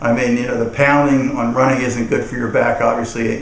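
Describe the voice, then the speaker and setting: A man's medium-pitched, monotone, flat voice, with audible room echo and noticeable background noise. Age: 60s. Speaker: customer giving a product testimonial. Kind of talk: testimonial. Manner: halting, many repetitions and fillers.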